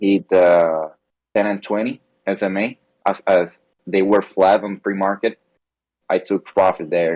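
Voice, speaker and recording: A man with a non-native accent speaks at a very slow pace and fairly low pitch. His intonation is monotone and flat, and the sound is dry and close, with no echo. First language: not English. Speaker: trading class member. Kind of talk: question in live class. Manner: halting.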